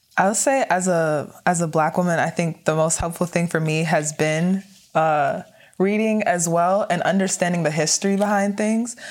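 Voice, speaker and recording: A woman with an American accent has a plain, everyday voice, fairly low pitch, ordinary pitch variation, very even loudness and a moderate pace. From US, Nigerian American family. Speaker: undergraduate student. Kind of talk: casual discussion.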